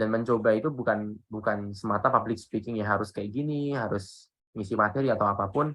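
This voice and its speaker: A man's normal speaking voice, fairly low in pitch, at a fairly quick pace with hardly any pauses and fairly even intonation. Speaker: public speaking trainer. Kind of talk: workshop talk. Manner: casual, conversational.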